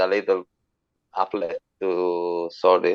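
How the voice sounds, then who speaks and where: The voice is a man's, with a fairly low pitch. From southern Italy (Bari, Puglia). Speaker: guitar learning website creator. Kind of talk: casual interview.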